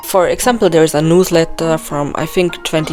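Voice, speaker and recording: Over noticeable background noise, a woman with a non-native accent and a fairly low pitch speaks at a moderate pace with fairly even intonation. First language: not English. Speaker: video game theory youtuber. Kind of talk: voice-over commentary. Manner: occasional halting self-corrections.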